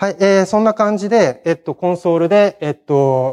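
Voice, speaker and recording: A man speaks with a dark, mellow tone and lively intonation. His pace is fairly quick over a quiet background. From Hiroshima, Japan; Japan. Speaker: conference speaker, programmer; conference speaker. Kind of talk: technical conference talk; conference talk. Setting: stage with audience. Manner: hesitant, many fillers. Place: hall. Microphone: podium.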